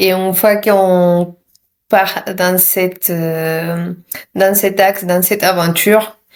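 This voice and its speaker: A woman speaks at a very slow pace in a medium-pitched voice. Her intonation is monotone and flat. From Mexico. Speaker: yoga teacher and massage practitioner. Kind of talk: interview answer. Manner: gentle.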